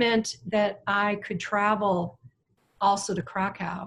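Somewhat breathy and at a very slow pace, a woman with an American accent speaks at medium pitch with fairly even intonation. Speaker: missionary. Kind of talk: testimony.

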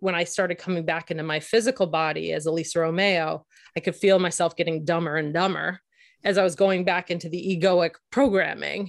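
Over a quiet background, a woman with a plain, everyday voice talks at a moderate pace, her pitch fairly low and her intonation fairly even. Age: 40s. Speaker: marriage and family therapist, author and podcast co-host. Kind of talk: interview conversation.

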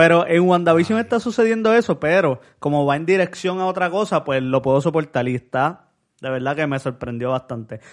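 A man's unremarkable speaking voice, fairly high in pitch with lively intonation, at a fairly quick pace with hardly any pauses, over a quiet background. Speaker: podcast co-host. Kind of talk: casual chat.

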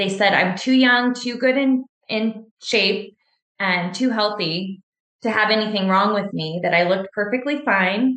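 A woman's ordinary speaking voice with an American accent, medium in pitch, with ordinary pitch variation and a fairly slow pace. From Washington State, US. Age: 40s. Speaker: cancer survivor and triathlete. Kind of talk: interview testimony.

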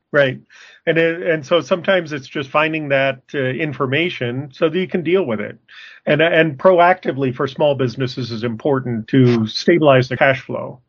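A man with an American accent uses an ordinary speaking voice, fairly high for a man, at a moderate pace with ordinary pitch variation. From Arizona. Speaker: podcast co-host, working capital consultant. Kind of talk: casual discussion.

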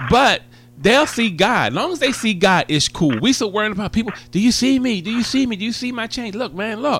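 A man talks at a fairly quick pace in a high pitch. His tone is animated and warm, with lively intonation. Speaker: gospel radio host. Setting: studio. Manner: animated, exuberant, warm and joking, rapid-fire enthusiastic ad-libs.

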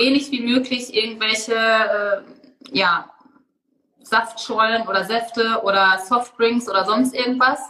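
An ordinary speaking voice from a woman, fairly high in pitch, with fairly even intonation and a moderate pace. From Germany. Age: 30s. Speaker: blogger and author. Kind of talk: interview.

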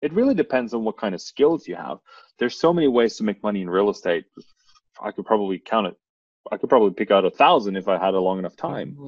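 A man races along at a very fast pace with lively intonation. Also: medium pitch for a man. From Norway. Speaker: real estate investor. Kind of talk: interview.

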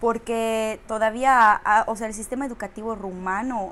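Speaking in a fairly high pitch, a woman delivers her words with monotone, flat intonation. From Romania. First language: Romanian (speaking Spanish). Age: 30s. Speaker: actress. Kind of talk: casual chat.

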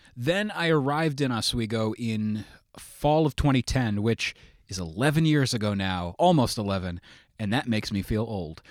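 With an American accent, a man talks in an ordinary speaking voice at medium pitch and a moderate pace, his intonation lively, on a very clean recording with a silent background. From New York State, Sullivan County. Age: 30s. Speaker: podcast host. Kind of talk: casual interview chat.

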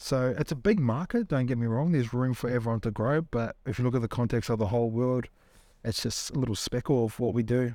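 A man with a New Zealand accent, medium in pitch, fairly quick in pace, dark and mellow in tone, with ordinary pitch variation. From New Zealand, Tokoroa. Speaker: entrepreneur and former pro rugby league player. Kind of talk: casual interview. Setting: studio.

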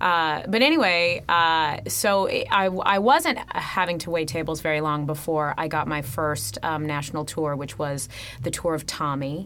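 A woman's very deep, low voice with an American accent, fairly slow yet with hardly any pauses, and ordinary pitch variation. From California, Fresno. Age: 30s. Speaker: stage actress. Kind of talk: interview. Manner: animated.

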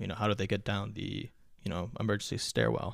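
With an American accent, a man with a fairly low pitch and vocal fry speaks very fast in a monotone, flat way. The recording is very clean, with a silent background. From US, first-generation Afghan American. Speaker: podcast guest. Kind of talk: casual chat.

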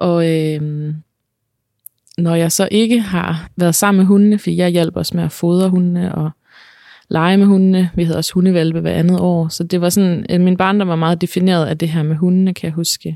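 A woman's dark, mellow tone with monotone, flat intonation. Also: fairly low pitch for a woman, moderate pace. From Denmark, central Jutland near Herning. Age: 30s. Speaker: podcast guest sharing her life story. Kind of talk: personal testimony interview. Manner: hesitant, many fillers.

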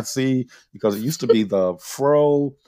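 Lively in intonation, a man with a Southern US accent speaks at a medium pitch. The recording is very clean, with a silent background. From Mississippi, Philadelphia. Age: 50s. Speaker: podcast host. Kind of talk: casual chat.

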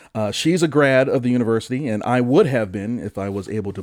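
An animated man with a Michigan accent and ordinary pitch variation, on a very clean recording with a silent background. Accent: Michigan general American. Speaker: podcast host. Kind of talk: casual comedic banter about weird news. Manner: joking, animated.

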